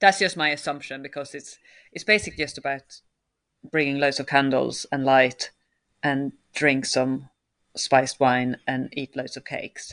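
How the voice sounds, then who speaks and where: The speaker, with a Swedish accent, has big swings in loudness, long, frequent pauses and fairly even intonation against a quiet background. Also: woman, very deep, low pitch for a woman, moderate pace. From Sweden. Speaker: circus choreographer and director. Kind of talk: interview conversation.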